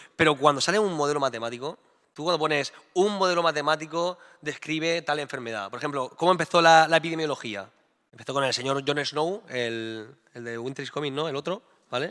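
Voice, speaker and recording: The man's voice is fairly high, with a bright, sharp tone and ordinary pitch variation. He talks at a fairly quick pace, and his loudness swings a lot. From Murcia, Spain. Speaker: mathematician. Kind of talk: staged debate.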